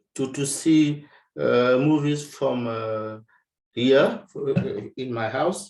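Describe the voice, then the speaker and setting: Speaking very slowly, a man keeps a medium pitch that varies in an ordinary way. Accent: French. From France. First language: French. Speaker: workshop participant. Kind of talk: video call chat. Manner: halting.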